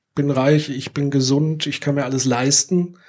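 A man speaks at a fairly quick pace in an unremarkable speaking voice. His pitch is fairly high. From Würzburg, Franconia. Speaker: podcast host. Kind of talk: live podcast discussion. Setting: theatre stage with audience.

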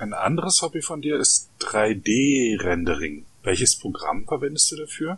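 This man's fairly high voice swings very widely in pitch. He talks at a fairly slow pace with hardly any pauses. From East Germany. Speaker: podcast host, Wikipedia volunteer. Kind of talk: interview.

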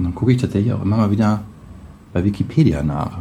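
A man's fairly low voice at a fairly quick pace, with ordinary pitch variation and noticeable background noise. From Braunschweig, northern Germany. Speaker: web developer, podcast guest. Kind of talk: casual chat.

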